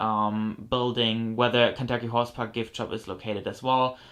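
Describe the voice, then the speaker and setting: With a German accent, a man speaks at medium pitch and a moderate pace in a bright, sharp tone, with monotone, flat intonation against a quiet background. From Germany. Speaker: model horse collector YouTuber. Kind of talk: haul video show-and-tell. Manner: casual, many fillers.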